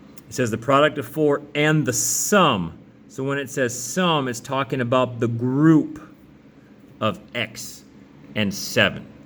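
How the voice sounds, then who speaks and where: Noticeable background noise sits behind a man speaking at medium pitch with ordinary pitch variation. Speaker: math teacher. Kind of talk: tutorial. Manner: fast; casual, conversational.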